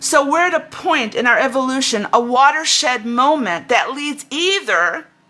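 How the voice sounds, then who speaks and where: A woman's raised, projected voice, high-pitched and animated in tone, against noticeable background noise. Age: 70s. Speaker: spiritual teacher. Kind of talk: spiritual talk. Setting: livestream on Facebook and YouTube. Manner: halting.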